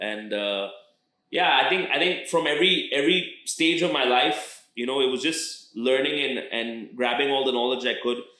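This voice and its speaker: Audible room echo surrounds a man talking at a moderate pace and medium pitch with an American accent. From international schools abroad (Indian family, third culture kid). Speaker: rapper. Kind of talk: interview. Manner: halting, many fillers and repeated words.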